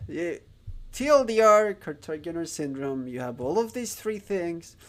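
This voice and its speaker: In a Spanish accent, the speech moves at a very slow pace with very wide pitch swings. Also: man. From Spain. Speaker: streamer learning Japanese. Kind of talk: live stream chat. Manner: halting, many fillers.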